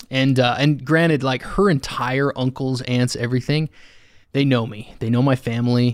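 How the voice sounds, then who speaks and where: A man with an American accent has a plain, everyday voice at a medium pitch. He speaks at a moderate pace with fairly even intonation, in a very clean recording with a silent background. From Utah. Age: 30s. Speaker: HVAC service technician. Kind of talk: casual chat. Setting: studio.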